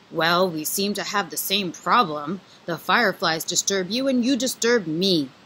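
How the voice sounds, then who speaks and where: A female-sounding, put-on character voice at a middle pitch speaks at a moderate pace. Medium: read story. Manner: authoritative.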